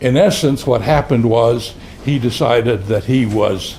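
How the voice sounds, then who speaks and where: A dark, mellow tone, somewhat breathy. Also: man. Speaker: retired criminology professor. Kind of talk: speech at a commemorative luncheon. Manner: halting.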